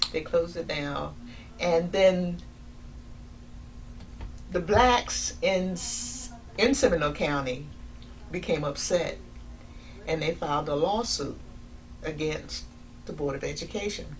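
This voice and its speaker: Fairly slow delivery in an American accent, with long, frequent pauses, ordinary pitch variation and noticeable background noise. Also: woman, fairly low pitch for a woman. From Sanford, Florida. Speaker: retired eligibility interviewer. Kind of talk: oral history interview answer.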